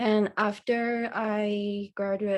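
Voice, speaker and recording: On a very clean recording with a silent background, a woman with a Thai accent speaks very slowly in a flat, monotone way. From Thailand. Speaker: university student. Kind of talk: casual interview. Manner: hesitant.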